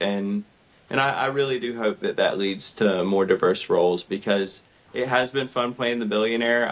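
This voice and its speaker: The speaker's pitch varies in an ordinary way over noticeable background noise. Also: man. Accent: Southern US. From US South, southern Georgia. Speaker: actor. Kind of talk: interview.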